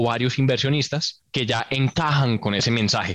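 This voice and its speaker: Recorded with a dry, close sound and no echo, a man speaks at medium pitch with fairly even intonation. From Colombia, Bogotá. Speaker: entrepreneur and engineer. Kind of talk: casual interview. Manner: hesitant, many fillers.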